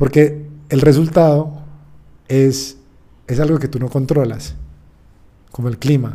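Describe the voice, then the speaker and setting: A man speaks with a fairly high pitch and a dark, mellow tone, somewhat breathy. His delivery is monotone and flat, fairly slow, with long, frequent pauses. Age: 30s. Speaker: sports psychologist. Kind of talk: interview. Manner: halting.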